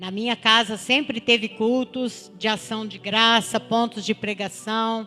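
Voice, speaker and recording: With a bright, sharp tone, a woman talks at a fairly slow pace in a monotone, flat intonation, with hardly any pauses. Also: fairly high pitch for a woman. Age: 60s. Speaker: churchgoer giving testimony. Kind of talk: testimony.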